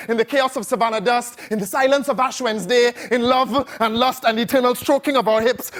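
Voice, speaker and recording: Over noticeable background noise, a man speaks at a fairly quick pace with an extremely high pitch and fairly even intonation. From Trinidad. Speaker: spoken word poet. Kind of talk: performance poetry. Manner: rhythmic.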